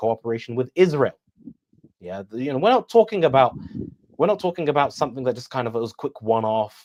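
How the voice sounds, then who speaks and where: A man with a British accent talks at a very fast pace, his sound dry and close with no echo. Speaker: political analyst, debater. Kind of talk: interview on live stream. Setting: live stream.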